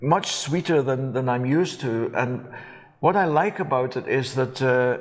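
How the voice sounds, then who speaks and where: The speaker is a man with a Scottish accent. He shows ordinary pitch variation. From Scotland. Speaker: whisky presenter. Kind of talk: interview. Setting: on location at a distillery.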